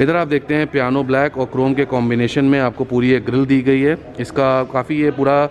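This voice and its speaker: A man at a moderate pace in a flat monotone, with light background noise. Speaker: car reviewer. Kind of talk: product walkaround commentary. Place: hall. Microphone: phone near.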